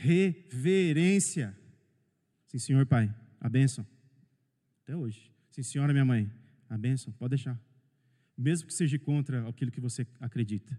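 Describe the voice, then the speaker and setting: Somewhat breathy and dark and mellow in tone, a man speaks at a medium pitch and a fairly slow pace, with ordinary pitch variation and long, frequent pauses. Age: 40s. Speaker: pastor. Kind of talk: sermon. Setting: church, livestreamed.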